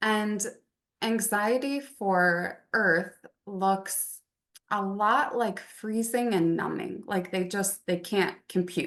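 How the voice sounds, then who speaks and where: A woman speaks in a calm tone. Her pitch sits in the medium range. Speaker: wellness practitioner. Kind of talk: casual interview chat. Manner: monotone.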